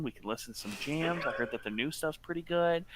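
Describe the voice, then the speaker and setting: A man puts on a shrill character voice, fairly high in pitch, with lively intonation. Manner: annoying, pushy, casual.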